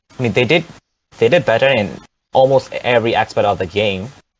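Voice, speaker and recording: A man at medium pitch and a moderate pace. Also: long, frequent pauses. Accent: non-native. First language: not English. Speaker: amateur esports player. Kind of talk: post-match interview. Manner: halting, hesitant.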